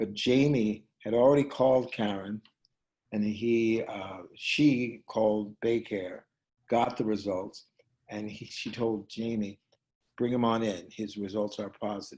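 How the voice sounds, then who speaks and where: An ordinary speaking voice, this man's is fairly low in pitch, with fairly even intonation and a fairly slow pace. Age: 60s. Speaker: actor and playwright, Covid survivor. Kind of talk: personal storytelling interview.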